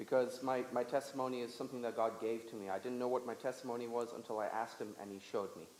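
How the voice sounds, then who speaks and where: Fairly quick, monotone delivery from a man at medium pitch, with flat intonation, hardly any pauses, audible room echo and noticeable background noise. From Lesotho. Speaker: guest speaker at church. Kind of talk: testimony. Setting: church service with audience. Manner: speaks in short segments for interpreter.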